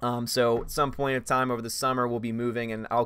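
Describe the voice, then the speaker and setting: A man is speaking. His pitch is medium. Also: very clean recording, silent background. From Louisiana. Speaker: film critic YouTuber. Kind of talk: live stream chat. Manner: fast.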